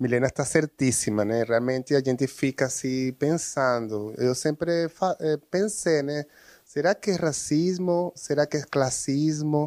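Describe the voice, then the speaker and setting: The recording is dry and close with no echo, as a man talks at a fairly slow pace in a fairly high pitch with ordinary variation. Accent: Spanish. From Venezuela. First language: Spanish (speaking Portuguese). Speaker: social educator. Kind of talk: interview.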